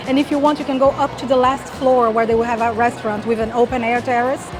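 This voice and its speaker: A woman with a high pitch speaks very fast in a monotone, flat intonation. Music plays in the background, and room echo is audible. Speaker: travel vlogger. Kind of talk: travel vlog walkthrough.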